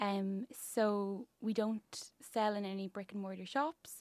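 With an Irish accent, a woman at a medium pitch speaks with fairly even intonation in a dry, close sound with no echo. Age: 20s. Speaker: business founder and designer. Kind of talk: radio interview. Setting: studio.

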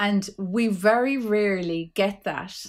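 A woman with an Irish accent speaks with ordinary pitch variation on a very clean recording with a silent background. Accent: Irish (Clare). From Ireland, County Clare. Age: 40s. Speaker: poet and author. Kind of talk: casual interview chat.

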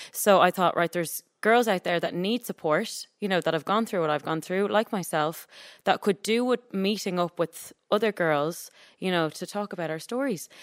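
An Irish accent marks this woman's medium-pitched voice, which moves at a moderate pace with ordinary pitch variation, captured dry and close with no echo on a very clean recording with a silent background. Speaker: activist. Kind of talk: casual chat. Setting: studio with audience.

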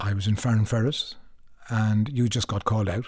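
A man with a Cork accent speaks at a fairly quick pace in a somewhat breathy, fairly low voice, recorded very cleanly against a silent background. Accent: Cork Irish. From Ireland, Cork. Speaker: actor. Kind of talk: interview. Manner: halting.

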